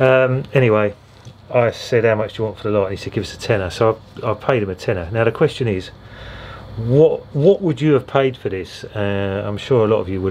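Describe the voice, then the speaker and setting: Amid noticeable background noise, a man with an English accent speaks fairly quickly at a medium pitch with lively intonation. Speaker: record collector vlogger. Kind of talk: casual vlog. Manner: hesitant, many fillers.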